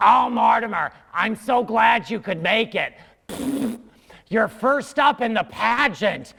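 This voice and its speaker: Using a put-on character voice pitched high, a man speaks fairly slowly with long, frequent pauses. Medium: solo performance. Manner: jovial, hearty.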